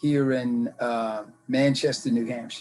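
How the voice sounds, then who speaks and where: A man with an American accent speaks while music plays in the background. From US South, Mississippi. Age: 60s. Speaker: interviewee telling life story. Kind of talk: casual interview. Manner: halting, many fillers.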